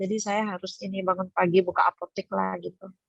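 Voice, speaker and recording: A woman's voice, dry and close with no echo, over music in the background. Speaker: pharmacy owner, group participant. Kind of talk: casual group chat.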